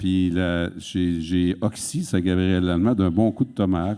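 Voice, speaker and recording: A man's very deep, low voice, fairly even in intonation, at a fairly slow pace. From Quebec, Sorel. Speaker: author and interviewer. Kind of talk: public onstage conversation. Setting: auditorium stage with audience.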